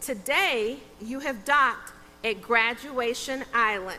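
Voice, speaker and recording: Over music in the background and audible room echo, a woman with a Texas accent speaks very slowly at a high pitch. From Texas, Sherman. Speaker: judge. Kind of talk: commencement speech. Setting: stage with audience.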